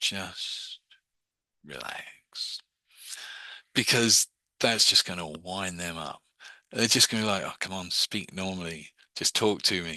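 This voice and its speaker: A man whispers with big swings in loudness, recorded dry and close with no echo against a quiet background. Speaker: hypnosis and meditation teacher. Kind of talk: online class. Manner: fast; hesitant, many fillers.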